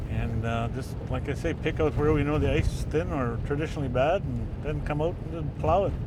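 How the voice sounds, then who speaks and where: A man talking at a fairly quick pace with hardly any pauses, amid noticeable background noise and audible room echo. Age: 50s. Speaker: ice road builder. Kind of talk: interview. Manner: halting, many fillers.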